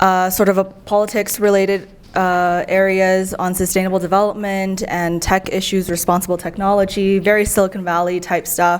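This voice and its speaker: A woman's medium-pitched voice with an American accent, monotone and flat, at a moderate pace with hardly any pauses, amid noticeable background noise. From US West Coast, San Francisco. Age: 20s. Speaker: traveler, former policy worker. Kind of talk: casual interview chat.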